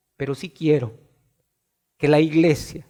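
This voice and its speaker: The speaker is a man whose pitch is fairly high. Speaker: preacher. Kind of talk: sermon. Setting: church. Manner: forceful.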